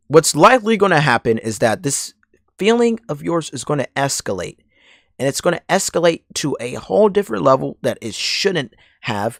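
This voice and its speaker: A man puts on a raspy character voice pitched fairly high, with very wide pitch swings at a moderate pace, recorded very cleanly against a silent background with a dry, close sound and no echo. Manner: serious.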